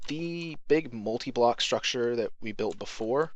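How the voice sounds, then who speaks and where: Against a quiet backdrop, a man talks with ordinary pitch variation. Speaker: gaming commentator. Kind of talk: casual game tutorial commentary. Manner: rambling, hesitant.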